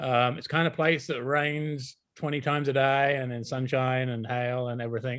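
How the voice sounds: Here a man speaks at medium pitch with little pitch movement. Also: fairly bright tone.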